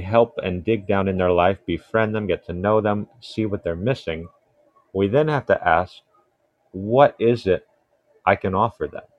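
Talking at a fairly slow pace, a man with an American accent has a plain, everyday voice, a fairly low pitch and ordinary pitch variation. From Ghana (Kasoa) and USA. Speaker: nurse and minister. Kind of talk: casual religious discussion.

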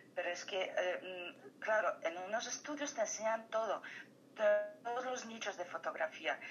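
With a Polish accent, a woman speaks at a fairly slow pace using lively intonation. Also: fairly high pitch for a woman. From Poland. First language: Polish (speaking Spanish). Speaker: photographer. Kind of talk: interview. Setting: phone call.

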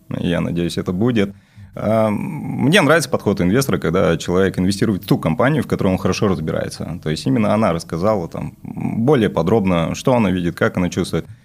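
Fairly quick, lively speech from a man with a fairly low pitch, against noticeable background noise. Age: young. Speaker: stockbroker. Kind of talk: casual chat.

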